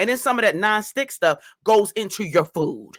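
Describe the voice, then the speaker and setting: A woman speaks in an animated tone with lively intonation. Vocal fry runs through her voice. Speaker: YouTube reaction commentator. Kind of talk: reaction commentary. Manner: fast.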